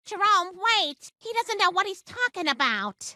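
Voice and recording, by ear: At a moderate pace, a female-sounding cartoonish character voice speaks at an extremely high pitch.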